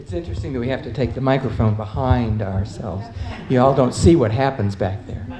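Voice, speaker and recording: A woman with a very deep, low pitch speaks at a fairly quick pace, her loudness swinging widely and her pitch varying in an ordinary way, amid noticeable background noise and audible room echo. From US South, Atlanta. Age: 70s. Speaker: panelist. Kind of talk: conference panel talk. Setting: conference panel with audience. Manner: halting.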